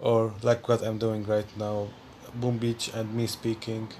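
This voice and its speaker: This speaker has a non-native accent and talks at a fairly slow pace with monotone, flat intonation. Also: man. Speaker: gaming YouTuber. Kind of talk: casual vlog to viewers. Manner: halting; giggly.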